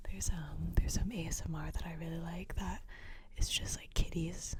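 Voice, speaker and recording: A woman is whispering at a fairly slow pace. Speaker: ASMR creator and college radio host. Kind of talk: ASMR ramble, casual talk to mic. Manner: soft-spoken, rambling.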